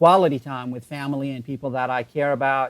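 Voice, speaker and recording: Fairly quick speech with an Arabic accent. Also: man. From Iraq, Baghdad. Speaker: online entrepreneur. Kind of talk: interview.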